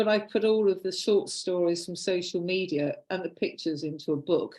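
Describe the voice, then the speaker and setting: Fairly quick female speech with a British accent, medium pitch and fairly even intonation. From United Kingdom. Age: 60s. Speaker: artist. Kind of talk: casual chat.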